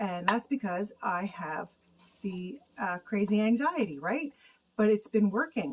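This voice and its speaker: A woman talks at a fairly slow pace in a medium pitch. Her intonation is lively. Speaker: home cooking vlogger. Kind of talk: cooking tutorial.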